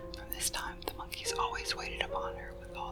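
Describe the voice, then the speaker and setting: Soft-spoken whispering at a fairly quick pace over music in the background. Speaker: ASMR storyteller. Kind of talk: ASMR story reading. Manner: whispered, soft-spoken.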